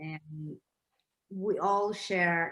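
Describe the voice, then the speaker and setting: A woman speaks in a Russian accent at a medium pitch. Her tone is bright and sharp. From Russia, then Israel from age ten. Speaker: documentary filmmaker. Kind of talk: panel discussion.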